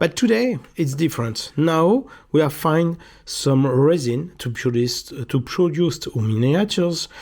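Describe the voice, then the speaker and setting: Spoken at a fairly slow pace with a strong French accent, the voice comes through on a very clean recording with a silent background. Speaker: miniatures maker and YouTuber. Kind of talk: casual video monologue. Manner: halting, many hesitations.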